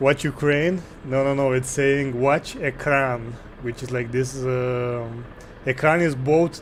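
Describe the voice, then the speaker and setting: Very slowly, a man talks at a medium pitch with fairly even intonation. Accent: Romanian. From Romania. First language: Romanian. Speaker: gaming streamer. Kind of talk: live gameplay stream with chat. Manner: casual, thinking aloud.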